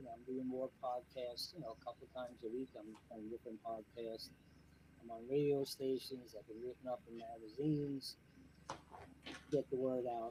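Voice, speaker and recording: A man with a medium-pitched, dark, mellow voice speaks at a moderate pace with fairly even intonation. His delivery is somewhat breathy, with big swings in loudness. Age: 70s. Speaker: CBD business owner and organic landscaper. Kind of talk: podcast interview. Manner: casual, many fillers.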